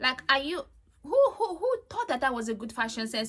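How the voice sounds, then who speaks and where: A woman speaks in a raised, projected voice with an animated tone, a high pitch, and a bright, sharp tone. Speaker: reality TV reviewer. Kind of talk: casual monologue review. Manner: fast.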